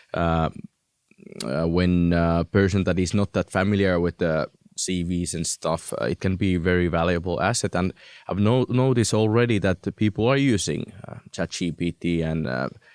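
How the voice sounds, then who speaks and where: A man with a Finnish accent speaks at a very deep, low pitch and a moderate pace, with ordinary pitch variation. The sound is dry and close with no echo, in a very clean recording with a silent background. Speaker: recruiter. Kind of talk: interview. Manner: halting.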